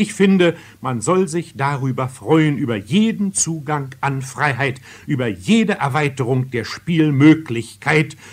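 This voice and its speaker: A man speaks at a fairly high pitch with lively intonation. His voice is somewhat breathy and his pace fairly slow. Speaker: radio theatre critic. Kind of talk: radio theatre review, spoken commentary. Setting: radio broadcast, archival recording. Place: studio. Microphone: old recording.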